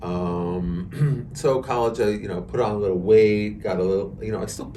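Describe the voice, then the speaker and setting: Swinging very widely in pitch, a man speaks with an American accent amid audible room echo. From New York, Hudson Valley (Westchester). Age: 60s. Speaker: amateur marathon runner. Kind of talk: podcast interview. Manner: hesitant, many fillers.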